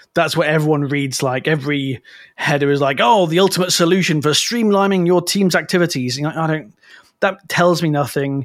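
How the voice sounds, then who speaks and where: Here is a man with an unremarkable speaking voice, fairly high in pitch. He moves at a fairly quick pace with ordinary pitch variation. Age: 30s. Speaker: copywriter. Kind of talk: casual chat.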